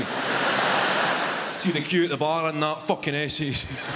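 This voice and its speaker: The speaker has a Glaswegian accent and fairly even intonation. Loud background noise fills the recording. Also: man. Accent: Glaswegian Scottish. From Glasgow, Scotland. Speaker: stand-up comedian. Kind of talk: live stand-up comedy set. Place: stage. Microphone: handheld.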